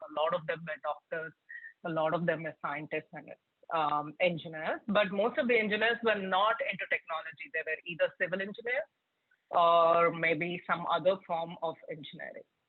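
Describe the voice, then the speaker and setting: A woman's fairly low voice with a Telugu accent, at a moderate pace. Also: ordinary pitch variation. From India, Hyderabad. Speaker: tech product leader, keynote speaker. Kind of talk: keynote talk to students. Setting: virtual event.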